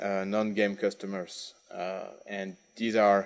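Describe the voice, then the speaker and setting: A man with a French accent speaks at a fairly low pitch. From France. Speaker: industry manager giving a conference keynote. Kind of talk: conference keynote. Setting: conference stage with audience. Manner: halting, many fillers and repetitions.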